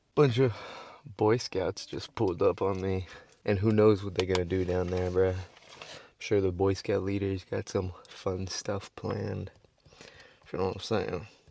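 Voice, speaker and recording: A man speaks with a very deep, low pitch and a dark, mellow tone. His intonation is monotone and flat, broken by long, frequent pauses. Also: moderate pace. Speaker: travel vlogger. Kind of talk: casual vlog narration. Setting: outdoors. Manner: kept relatively quiet.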